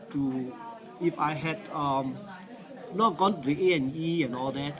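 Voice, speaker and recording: Speaking fairly slowly, a man with a fairly high pitch is heard over noticeable background noise. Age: 60s. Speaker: cancer patient. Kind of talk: testimony. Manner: halting.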